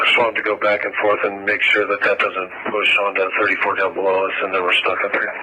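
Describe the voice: The voice moves at a fairly quick pace with monotone, flat intonation, a bright, sharp tone and a slightly husky edge. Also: man, low pitch for a man.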